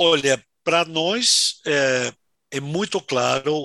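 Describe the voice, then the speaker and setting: A man's bright, sharp tone with ordinary pitch variation, in dry, close sound with no echo. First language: Spanish (speaking Portuguese). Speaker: winery sales manager. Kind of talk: interview. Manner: hesitant, filler-heavy.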